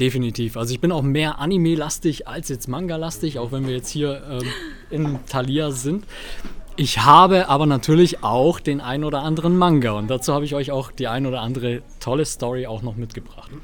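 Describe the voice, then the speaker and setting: There is noticeable background noise as a man speaks at a fairly quick pace. His pitch is fairly high, with ordinary variation. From Swabia, Germany. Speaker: event presenter and social media creator. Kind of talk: casual chat. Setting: bookstore. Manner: animated.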